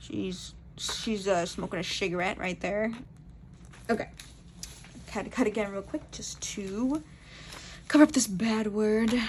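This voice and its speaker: A woman at medium pitch with ordinary pitch variation, long, frequent pauses and big swings in loudness. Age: 20s. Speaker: amateur artist. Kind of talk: casual talk to camera. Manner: fast.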